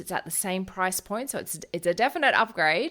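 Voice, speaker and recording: A woman speaks at medium pitch. The recording is very clean with a silent background. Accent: Australian. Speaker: naturopath and podcast host. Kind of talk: solo podcast talk. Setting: at home.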